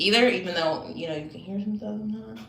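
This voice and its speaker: A woman talks at medium pitch with ordinary pitch variation. Noticeable background noise is present. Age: 20s. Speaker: livestreamer. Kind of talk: casual chat.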